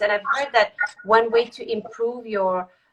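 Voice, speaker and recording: In a French accent, a woman speaks at a fairly high pitch. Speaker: executive coach. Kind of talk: live video interview. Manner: halting.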